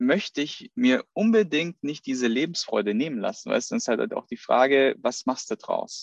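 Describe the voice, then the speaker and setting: A man's high-pitched voice with very wide pitch swings, recorded dry and close with no echo. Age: 30s. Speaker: personal trainer podcast host. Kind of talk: casual chat.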